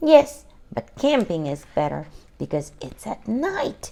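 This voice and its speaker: A female-sounding put-on character voice speaks fairly slowly at a fairly high pitch. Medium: read story.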